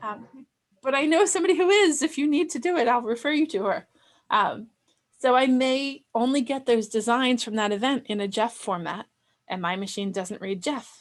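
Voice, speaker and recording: With a Delaware accent, a woman talks at a moderate pace in a high voice that moves through very wide pitch swings. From Delaware, US. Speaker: sewing software instructor. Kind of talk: online class.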